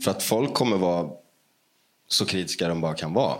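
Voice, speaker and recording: This man's voice sits very deep and low, with vocal fry. His pitch swings very widely. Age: 30s. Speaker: musician. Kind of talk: interview.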